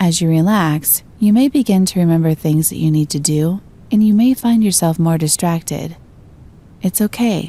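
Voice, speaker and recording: Somewhat breathy and dark, mellow in tone, a woman speaks in a fairly low pitch with ordinary pitch variation. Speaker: voice-over artist. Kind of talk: guided meditation. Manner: soft-spoken, slow, calm.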